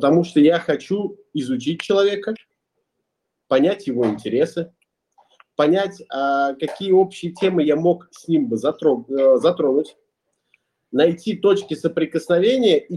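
With long, frequent pauses, a man talks at a fairly slow pace in a high pitch with lively intonation. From Russia, Ulyanovsk. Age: 20s. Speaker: entrepreneur and musician. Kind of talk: podcast interview.

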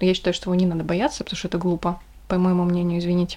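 The voice belongs to a woman and sits at a medium pitch. The recording is very clean, with a silent background. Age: 20s. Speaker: podcast co-host. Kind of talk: casual chat.

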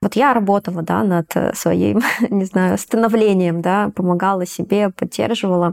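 At a fairly slow pace, a plain, everyday voice speaks with ordinary pitch variation. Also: woman. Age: 30s. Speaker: coaching program participant. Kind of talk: casual chat.

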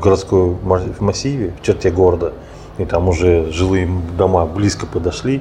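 Through noticeable background noise, a man with a very deep, low pitch talks at a moderate pace. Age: 30s. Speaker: organic fertilizer producer. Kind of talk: interview conversation. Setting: cafe. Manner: halting.

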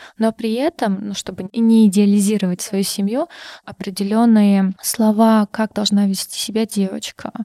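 On a very clean recording with a silent background and a dry, close sound with no echo, a woman with a North Caucasian accent speaks at a moderate pace in a dark, mellow tone of medium pitch with fairly even intonation. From Karachay-Cherkessia, North Caucasus, Russia. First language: Circassian (speaking Russian). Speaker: internal audit manager. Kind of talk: casual interview.

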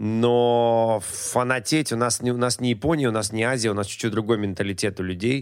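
A man's animated voice at a medium pitch and moderate pace, with very even loudness and hardly any pauses. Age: 40s. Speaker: TV host, sports commentator and musician. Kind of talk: casual chat.

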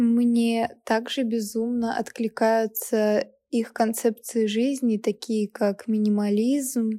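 Speaking at a very slow pace, a woman with a fairly high pitch keeps a monotone, flat intonation and a dark, mellow tone. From Russia, Kaliningrad. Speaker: podcast host, university student. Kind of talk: solo podcast monologue.

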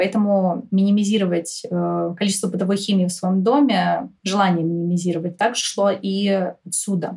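A woman speaks in a normal speaking voice with fairly even intonation. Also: medium pitch for a woman, moderate pace. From Moscow, Russia. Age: 20s. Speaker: podcast guest, eco-lifestyle enthusiast. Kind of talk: casual interview.

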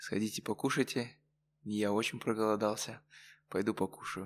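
At a moderate pace and fairly low pitch, a man speaks in a very clean recording with a silent background. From Kazakhstan, Karaganda. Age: young. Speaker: student podcast host. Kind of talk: casual interview.

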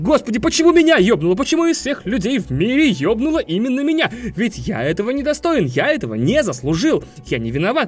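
A man's whiny, extremely high, put-on character voice at a very fast pace over faint background music. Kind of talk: colloquial, dramatic. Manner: mock lamenting, whining.

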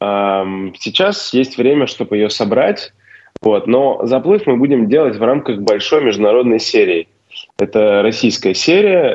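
At a fairly slow pace, a man talks with very wide pitch swings while his loudness stays very even. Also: medium pitch for a man. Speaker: race organizer. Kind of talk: casual interview. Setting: video call from Slovenia. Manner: hesitant, filler words.

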